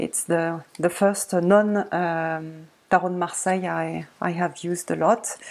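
In a French accent, a woman speaks very slowly with fairly even intonation. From France. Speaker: tarot video creator. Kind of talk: casual tutorial-style show-and-tell. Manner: halting, many fillers. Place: home room. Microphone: webcam.

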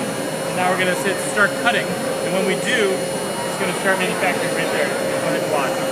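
Loud background noise fills the recording. A man speaks at a moderate pace. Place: hall. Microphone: camera far.

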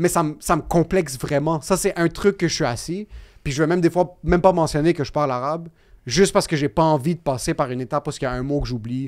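A man's fairly high voice at a very fast pace, with ordinary pitch variation against a quiet background. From Quebec. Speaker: podcast guest. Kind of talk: casual chat. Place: studio. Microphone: studio mic.

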